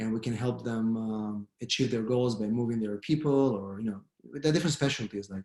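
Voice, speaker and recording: A man speaks with an Israeli accent at a fairly quick pace. His voice sits at a medium pitch with ordinary pitch variation. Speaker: immigration lawyer. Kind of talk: online panel discussion.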